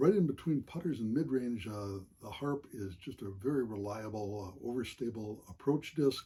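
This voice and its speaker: Somewhat breathy and dark, mellow in tone, a man talks at a moderate pace and a medium pitch. His intonation is lively, and he leaves hardly any pauses. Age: 70s. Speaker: amateur disc golfer. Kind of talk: equipment show-and-tell. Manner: frequent hesitations, many uhs.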